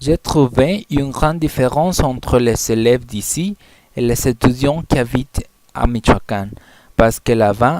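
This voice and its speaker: This man has an ordinary speaking voice at a medium pitch, with ordinary pitch variation and a fairly slow pace. The sound is dry and close, with no echo. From Mexico (Colima). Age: 20s. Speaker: language student. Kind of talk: class presentation, self-introduction.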